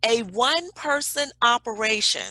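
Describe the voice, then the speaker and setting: With a Southern US accent, a woman speaks in a bright, sharp, animated tone at a fairly high pitch, the sound dry and close with no echo. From Alabama, US South. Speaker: business consultant. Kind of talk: webinar presentation. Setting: video call.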